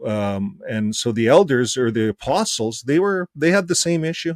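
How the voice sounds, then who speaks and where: An unremarkable speaking voice from a man, lively intonation, moderate pace, and a dry, close sound with no echo. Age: 60s. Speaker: ex-Jehovah's Witness channel host. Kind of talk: casual chat.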